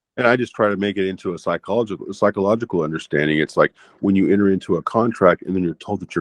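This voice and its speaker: A man's fairly low voice with an American accent, ordinary pitch variation and a very fast pace. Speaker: cult abuse survivor. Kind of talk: interview. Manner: loud.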